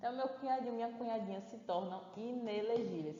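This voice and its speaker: There is noticeable background noise and audible room echo. A woman talks with ordinary pitch variation. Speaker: course teacher. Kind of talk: online lecture. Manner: animated.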